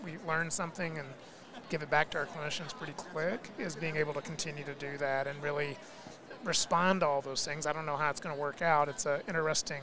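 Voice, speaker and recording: Over noticeable background noise, a man with an American accent talks at a very fast pace. His pitch is fairly high, with fairly even intonation. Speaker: physical therapy executive and researcher. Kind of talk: podcast interview.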